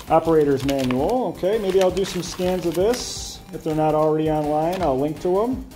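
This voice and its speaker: Clear music plays in the background. A man with a fairly high pitch speaks at a moderate pace with ordinary pitch variation. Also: hardly any pauses. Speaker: retro VR tech reviewer. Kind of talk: unboxing and setup talk to camera. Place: empty room.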